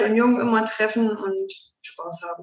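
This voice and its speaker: Her fairly high voice comes at a very slow pace as the woman talks. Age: 20s. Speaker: mayor. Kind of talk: interview.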